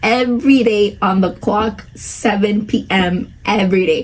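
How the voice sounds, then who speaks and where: A woman speaks in an animated tone. Noticeable background noise runs underneath. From Spanish-speaking country, moved at eight. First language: Spanish. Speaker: podcast host. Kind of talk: casual chat.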